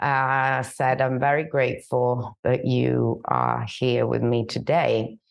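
A woman talks at a very slow pace with hardly any pauses. Her loudness stays very even throughout. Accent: Italian. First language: Italian. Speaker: podcast host. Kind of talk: interview conversation. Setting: video call. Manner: halting.

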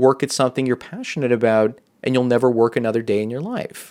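The recording is very clean and the background silent. A man speaks very fast. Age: 40s. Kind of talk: solo monologue video answering a viewer's question.

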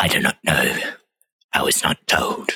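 This is a put-on character voice. It sounds raspy and hissing. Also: moderate pace. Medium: actual play. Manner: hissing, curt.

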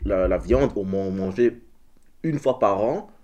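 In a dark, mellow tone, a man speaks at a fairly low pitch with ordinary pitch variation. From Belgium. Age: 20s. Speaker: artist. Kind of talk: casual chat.

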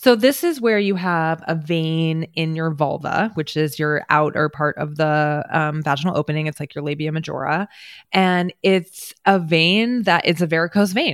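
A woman with a fairly low pitch and ordinary pitch variation speaks at a moderate pace with hardly any pauses, in an ordinary speaking voice. The recording is very clean, with a silent background. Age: 40s. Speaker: pelvic floor physical therapist. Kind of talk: interview.

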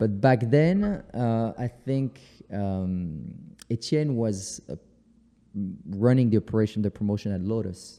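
A man with a French accent speaks at a fairly slow pace in a fairly low voice with ordinary pitch variation, leaving long, frequent pauses. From France (Paris). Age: 40s. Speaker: photographer. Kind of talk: interview.

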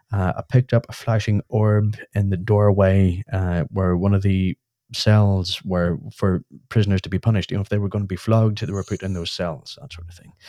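A man with a Northern Irish accent speaks at a moderate pace, his intonation fairly even while his loudness swings widely. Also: fairly low pitch for a man. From Northern Ireland. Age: 30s. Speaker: UFO society chairperson. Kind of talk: casual chat.

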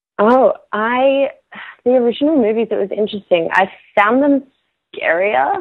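A woman's high, bubbly voice with an Australian accent, lively intonation, a moderate pace and long, frequent pauses. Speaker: actress. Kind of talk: interview. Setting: remote call with delay.

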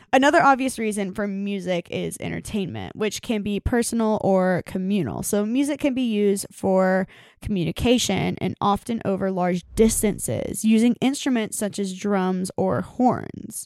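Recorded very cleanly with a silent background and a dry, close sound with no echo, the speech runs at a moderate pace with ordinary pitch variation and hardly any pauses. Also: woman, medium pitch for a woman. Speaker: podcast co-host. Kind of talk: reading researched notes in casual chat. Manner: rhythmic speaking cadence.

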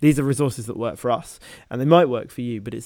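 A man with a British accent talks at a very fast pace on a very clean recording with a silent background. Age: 20s. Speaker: medical student podcast co-host. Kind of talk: casual chat.

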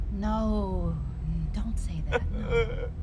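Someone performs a put-on character voice over loud background noise. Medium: audio drama. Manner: gentle, warm, reassuring.

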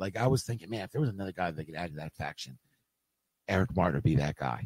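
With a very deep, low pitch and a dark, mellow tone, a man speaks at a very fast pace with lively intonation. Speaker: wrestling manager and fan. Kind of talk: casual chat. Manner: quiet; soft-spoken.

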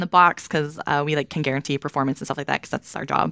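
On a very clean recording with a silent background, a woman talks at a very fast pace in a bright, sharp tone. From Kentucky, Louisville. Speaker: software program manager. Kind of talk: technical interview. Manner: casual, frequent filler words.

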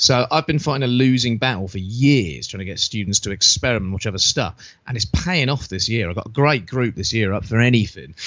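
A man's medium-pitched voice, fairly quick, with lively intonation and hardly any pauses. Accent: British. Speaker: wrestling podcast co-host. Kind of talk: casual chat.

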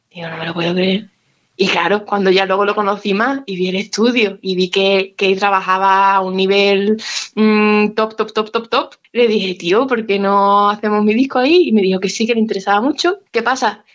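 At a moderate pace, a woman uses a normal speaking voice with a medium pitch and fairly even intonation. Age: 20s. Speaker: musician. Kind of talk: interview.

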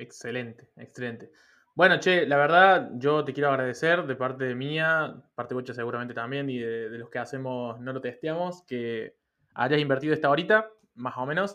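In a Rioplatense accent, a man with a bright, sharp tone and medium pitch talks at a moderate pace, with ordinary pitch variation and big swings in loudness. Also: quiet background. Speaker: podcast host. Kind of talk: interview. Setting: online call.

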